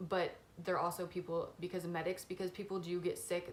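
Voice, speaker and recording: This woman's voice is fairly low in pitch. She talks at a fairly quick pace. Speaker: YouTuber. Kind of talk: storytime vlog. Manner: fast; casual, filler-heavy.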